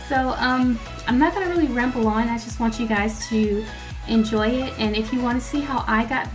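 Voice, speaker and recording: A woman talks at a moderate pace while clear music is heard behind her. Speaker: beauty vlogger. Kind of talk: casual vlog intro, then tutorial. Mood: friendly, upbeat.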